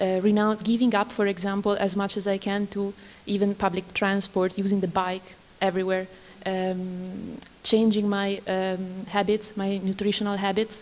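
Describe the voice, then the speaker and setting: A woman speaks with an Italian accent at a moderate pace. Her medium-pitched voice is flat and monotone. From Italy. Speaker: artist or researcher on a symposium panel. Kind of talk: panel discussion. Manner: halting.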